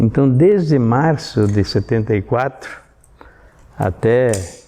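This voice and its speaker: Speaking very slowly, a man uses lively intonation at a medium pitch. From southern Brazil, Rio Grande do Sul (Sarandi). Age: 70s. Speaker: civic organization veteran member. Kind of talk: documentary testimony. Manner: halting, with many repetitions and fillers.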